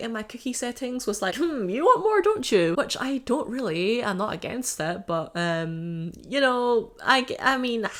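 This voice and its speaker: Fairly slow in pace, a woman speaks in a fairly high pitch with very wide pitch swings over noticeable background noise. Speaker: YouTuber. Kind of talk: casual vlog commentary. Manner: animated.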